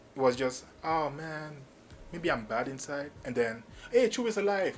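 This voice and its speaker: At a fairly slow pace, a man with a Cameroonian accent talks with ordinary pitch variation. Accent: Cameroonian (francophone) English. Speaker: YouTube movie reviewer. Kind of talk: casual video review. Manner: freestyle, impromptu with fillers.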